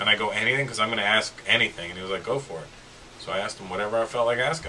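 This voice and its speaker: The man speaks very fast. There is light background noise. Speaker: guest comedian. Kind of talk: interview answer. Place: studio.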